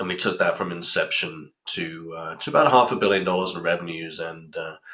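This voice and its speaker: In a British accent, a man talks at a moderate pace. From UK. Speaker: pharma company CEO. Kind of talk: interview. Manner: halting, many fillers.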